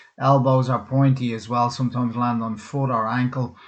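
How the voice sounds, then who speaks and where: The speech comes in a Dublin accent at a moderate pace. The intonation stays fairly even. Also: man. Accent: Dublin Irish. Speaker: cutman and physical therapist giving a webinar. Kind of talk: webinar presentation. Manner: casual, hesitant with fillers.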